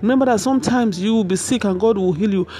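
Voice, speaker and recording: With music behind her, a woman speaks using ordinary pitch variation. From Nigeria. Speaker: minister and counselor. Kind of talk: sermon.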